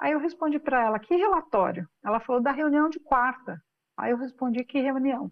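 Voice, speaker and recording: The woman's voice is high-pitched. She talks at a moderate pace with lively intonation. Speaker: business executive and founder. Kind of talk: interview.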